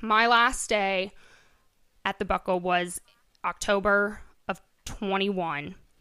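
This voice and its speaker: A woman with a Midwestern American accent talks at a very slow pace, leaving long, frequent pauses. Her tone is bright and sharp, her intonation fairly even. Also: very clean recording, silent background. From Iowa, US Midwest. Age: 20s. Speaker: boutique owner. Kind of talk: casual interview.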